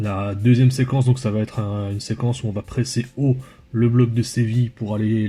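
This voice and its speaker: A dark, mellow, somewhat breathy voice moves at a fairly quick pace in a flat monotone. The recording is very clean, with a silent background. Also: man. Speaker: football analysis youtuber. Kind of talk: tactical match analysis video. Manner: hesitant, many filler sounds.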